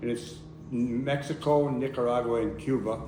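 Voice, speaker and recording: A man with a medium-pitched voice speaks at a moderate pace over noticeable background noise and audible room echo. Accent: American. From US Northeast (Connecticut). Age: 80s+. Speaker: activist and photographer. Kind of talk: public talk.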